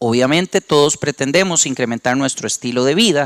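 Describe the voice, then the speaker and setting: With a Costa Rican accent, a man talks at a moderate pace. The sound is dry and close, with no echo. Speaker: company representative, panel speaker. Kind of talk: conference presentation.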